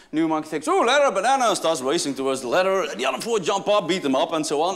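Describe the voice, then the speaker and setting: Talking at a very fast pace, a man with a Dutch accent makes very wide pitch swings. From Netherlands. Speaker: business school professor. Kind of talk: keynote speech.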